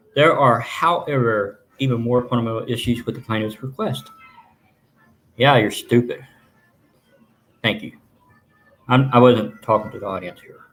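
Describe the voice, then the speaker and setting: Speaking with a Texan accent at a moderate pace, a man of medium pitch shows ordinary pitch variation, big swings in loudness and long, frequent pauses. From Texas. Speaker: journalist and plaintiff. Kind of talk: live stream commentary reading legal documents. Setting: live stream from home. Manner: animated.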